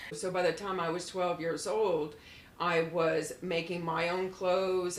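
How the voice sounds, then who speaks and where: A woman with an American accent speaks in a fairly low, monotone, flat voice, with noticeable background noise and audible room echo around her. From Florida. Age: 60s. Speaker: former model. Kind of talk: podcast interview. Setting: apartment.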